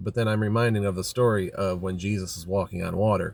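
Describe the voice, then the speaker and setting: A man's fairly low voice at a fairly quick pace, dry and close with no echo. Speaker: tarot reader. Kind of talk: tarot reading monologue. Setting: outdoors by a lake. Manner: fast.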